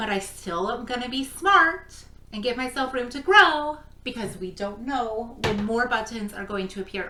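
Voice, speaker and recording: Against noticeable background noise, a woman speaks in an animated tone at a fairly high pitch. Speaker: crafting vlogger. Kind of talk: casual vlog talk. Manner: loud. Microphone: no microphone, camera mic.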